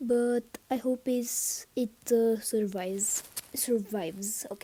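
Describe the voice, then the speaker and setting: Speaking at a very slow pace, a woman with a non-native accent uses a fairly high pitch. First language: not English. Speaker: gaming YouTuber. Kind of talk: gameplay commentary. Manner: halting, many fillers; excited reactions.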